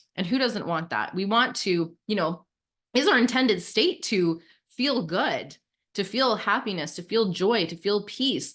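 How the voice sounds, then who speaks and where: Against a quiet background, a woman with an unremarkable speaking voice talks at a fairly slow pace and a fairly high pitch, with lively intonation. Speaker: self-improvement podcast host. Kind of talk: casual chat.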